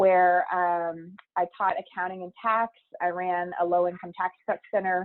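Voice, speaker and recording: In a flat monotone, a woman speaks at medium pitch. She has a slight Texas accent. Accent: slight Texas twang. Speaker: higher education administrator, former professor. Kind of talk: interview.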